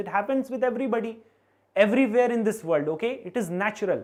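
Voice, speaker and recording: A woman talks at a fairly quick clip. Her voice sits fairly high. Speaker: maths teacher. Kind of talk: live online lecture. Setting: live stream with chat. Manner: fast.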